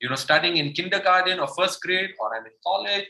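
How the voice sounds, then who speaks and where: At a very fast pace, a man with high pitch talks in an animated tone. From India. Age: 30s. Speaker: motivational speaker. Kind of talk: motivational talk.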